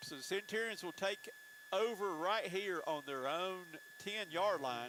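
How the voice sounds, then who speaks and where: With a South Carolina accent, a man speaks fairly slowly in a high voice full of lively intonation. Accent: Southern US (South Carolina). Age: 60s. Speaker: play-by-play announcer. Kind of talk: live commentary.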